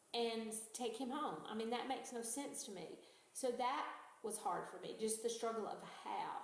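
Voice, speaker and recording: A fairly high-pitched woman with an American accent, with audible room echo and noticeable background noise. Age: 60s. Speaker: retired teacher. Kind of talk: interview testimony.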